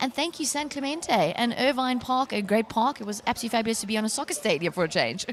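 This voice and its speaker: Over noticeable background noise, a woman talks very fast with hardly any pauses, her fairly high voice carrying lively intonation. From South Africa. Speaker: rugby commentator. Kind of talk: live sports broadcast sign-off. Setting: outdoor stadium.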